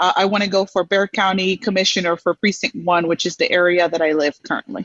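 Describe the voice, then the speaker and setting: A woman with a Dominican accent, at a very fast pace, with a medium pitch and ordinary pitch variation. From Dominican Republic, moved to Houston at seven. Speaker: community leader, program alumna. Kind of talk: interview on a live show. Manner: halting, many fillers.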